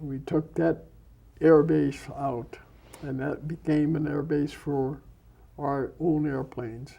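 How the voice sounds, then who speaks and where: A man with an Upper Midwest accent, fairly high pitch, a dark, mellow tone, monotone, flat intonation, a very slow pace and long, frequent pauses. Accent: Upper Midwest American. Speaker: war veteran. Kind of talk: interview answer. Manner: soft-spoken.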